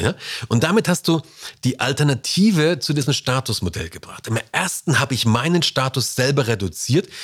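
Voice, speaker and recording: A man is speaking. His pitch swings very widely. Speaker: podcast host on leadership and communication. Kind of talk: solo podcast monologue. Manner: casual, conversational with fillers.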